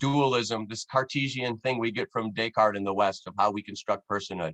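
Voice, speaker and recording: A man speaks in an animated tone with ordinary pitch variation. The sound is dry and close with no echo, over a quiet background. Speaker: anthropology professor. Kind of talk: lecture. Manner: fast.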